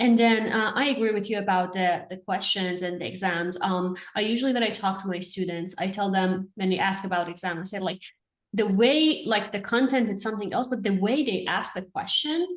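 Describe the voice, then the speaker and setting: A woman with an Iranian accent and a medium-pitched voice speaks at a fairly quick pace with hardly any pauses and ordinary pitch variation. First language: Farsi. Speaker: interviewer, therapy educator. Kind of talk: interview.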